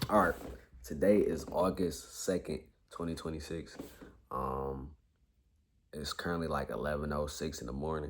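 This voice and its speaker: With an American accent and vocal fry, the speaker keeps a moderate pace and fairly even intonation, broken by long, frequent pauses. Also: man, very deep, low pitch for a man. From Detroit, US. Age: 20s. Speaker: vlogger and community college student. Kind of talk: casual vlog monologue. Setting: at grandmother's house, talking to camera. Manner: halting, many fillers.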